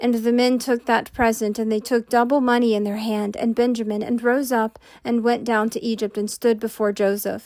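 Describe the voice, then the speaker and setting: The speech goes at a moderate pace. The recording is very clean, with a silent background. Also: woman. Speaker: amateur Bible narrator. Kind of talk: scripture reading.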